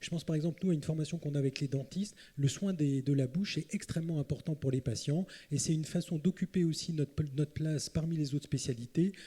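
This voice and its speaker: Speaking at a fairly quick pace, a man with a fairly high pitch has a dark, mellow tone that is somewhat breathy. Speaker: psychiatrist, panelist. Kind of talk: round table talk. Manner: hurried, hesitant.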